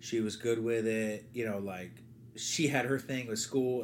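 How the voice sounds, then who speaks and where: In an American accent, a man talks at a medium pitch with fairly even intonation. His is an ordinary speaking voice. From New Jersey. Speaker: baseball coach. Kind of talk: casual chat.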